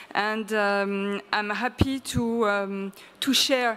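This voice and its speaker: A woman speaks in a French accent with fairly even intonation. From France. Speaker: early childhood association representative. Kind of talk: conference presentation. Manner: hesitant, many fillers.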